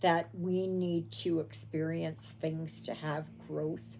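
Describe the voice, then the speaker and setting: Light background noise sits behind a woman speaking at a very slow pace. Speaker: crafter vlogger. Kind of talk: casual vlog chat. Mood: reflective, personal. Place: home room. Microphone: phone near.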